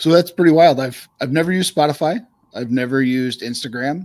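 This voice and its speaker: Lively intonation and big swings in loudness mark this man's speech. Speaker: podcast co-host. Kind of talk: casual chat. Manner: quiet; soft-spoken.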